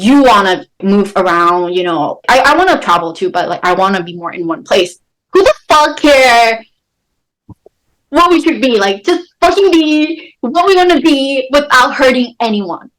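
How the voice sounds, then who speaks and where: A woman with a high voice speaks at a moderate pace in an animated tone, her pitch swinging very widely. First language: not English. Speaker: podcast co-host. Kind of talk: casual chat. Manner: halting.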